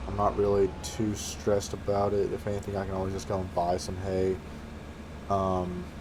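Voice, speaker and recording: A man with a very deep, low pitch speaks at a moderate pace with fairly even intonation. Audible room echo is present. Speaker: gaming youtuber. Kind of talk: gameplay commentary. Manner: casual, hesitant with fillers.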